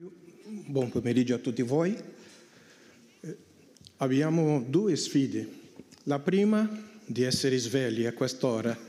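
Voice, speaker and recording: A man with a medium-pitched, dark, mellow voice speaks at a very slow pace with lively intonation, long and frequent pauses, and audible room echo. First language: Portuguese (speaking Spanish). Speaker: missionary priest. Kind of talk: conference talk.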